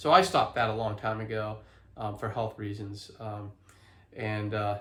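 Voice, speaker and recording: This man speaks at a moderate pace in a fairly low pitch. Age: 50s. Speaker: healthy living vlogger and author. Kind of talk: casual vlog talk to camera. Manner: halting, many fillers and restarts.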